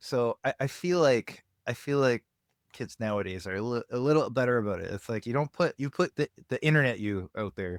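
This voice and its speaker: Recorded very cleanly against a silent background, the sound is dry and close with no echo. A man speaks at a fairly quick pace in a medium pitch with lively intonation. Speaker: podcast host. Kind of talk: casual chat. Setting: home basement studio. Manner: enunciates, quasi radio voice.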